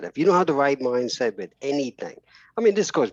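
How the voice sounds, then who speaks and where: The voice has a New York accent and very wide pitch swings. The sound is dry and close, with no echo. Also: man. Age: 50s. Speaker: entrepreneur. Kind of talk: podcast interview. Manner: halting.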